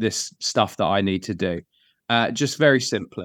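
A man speaks at a medium pitch in an American accent. The sound is dry and close with no echo, over a quiet background. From Bedfordshire, England. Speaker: church planter.

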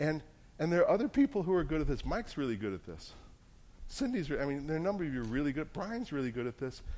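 A man's fairly high voice with an American accent, dark and mellow in tone, at a very fast pace with very wide pitch swings. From New Jersey. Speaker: pastor. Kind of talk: sermon.

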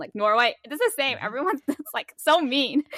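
A woman's high, bright, sharp voice, raised and projected, with lively intonation and a dry, close sound free of echo. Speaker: podcast host, UX designer. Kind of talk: casual chat. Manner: outspoken.

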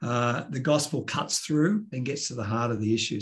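Somewhat breathy and medium in pitch, a man speaks with an Australian accent and ordinary pitch variation. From Australia, Sydney. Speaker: pastor. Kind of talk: interview conversation. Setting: video call.

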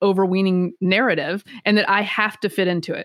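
A plain, everyday voice with an American accent at a moderate pace, in a dry, close sound with no echo on a very clean recording with a silent background. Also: woman. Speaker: political commentator. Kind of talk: casual interview.

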